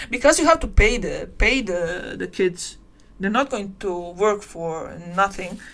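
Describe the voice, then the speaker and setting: With a non-native accent, a woman talks at a moderate rate. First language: not English. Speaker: tutorial creator. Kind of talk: live-stream tutorial. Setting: live stream. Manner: halting.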